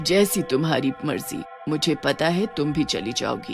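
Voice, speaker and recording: Over clear background music, a put-on character voice speaks at a middle pitch and a moderate pace. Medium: read story.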